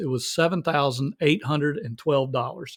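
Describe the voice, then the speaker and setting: Speaking in a Southern US accent, a man uses a fairly high pitch and keeps a moderate pace. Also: very clean recording, silent background. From US South. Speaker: ministry leader. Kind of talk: podcast interview.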